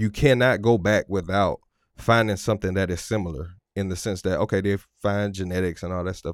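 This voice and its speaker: In a plain, everyday voice, someone speaks at a fairly quick pace with fairly even intonation, on a very clean recording with a silent background and a dry, close sound without echo. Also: man. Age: 30s. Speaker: relationship coach and podcast host. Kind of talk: solo podcast monologue. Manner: casual, with many fillers.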